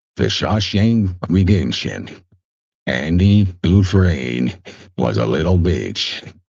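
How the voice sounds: A man's low-pitched voice with vocal fry, big pitch swings, a slightly mellow tone and a slow pace.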